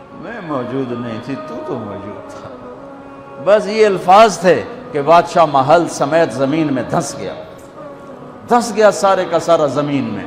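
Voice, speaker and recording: Over music in the background, a man with a fairly high pitch talks with very wide pitch swings and big swings in loudness. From Pakistan. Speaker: Islamic scholar and preacher. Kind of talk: religious sermon (bayan). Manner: emotional, fervent, preaching.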